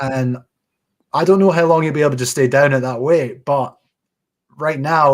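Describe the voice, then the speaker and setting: Speaking with a Scottish accent, a man uses a fairly high pitch and ordinary pitch variation. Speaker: boxing podcast host. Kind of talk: casual chat. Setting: live stream.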